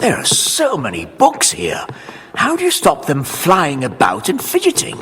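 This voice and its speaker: This is a cartoonish character voice. It moves along at a moderate pace. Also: man. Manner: pompous, blustering.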